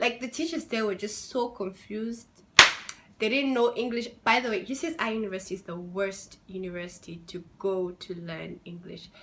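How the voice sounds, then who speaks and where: Noticeable background noise is present. The speech moves at a moderate pace with lively intonation. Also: woman. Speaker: international student vlogger. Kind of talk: casual vlog. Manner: animated.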